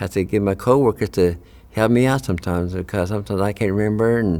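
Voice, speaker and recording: With a dark, mellow tone and fairly even intonation, a man talks fairly quickly in a fairly low voice. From Oklahoma, Cherokee community. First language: Cherokee. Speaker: translator and radio host. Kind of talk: personal testimony. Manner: halting, many fillers.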